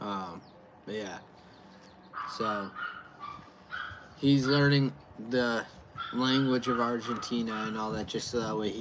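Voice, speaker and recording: The pace is fairly slow, with long, frequent pauses. Noticeable background noise runs underneath. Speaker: beer reviewer livestreamer. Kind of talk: casual livestream chat.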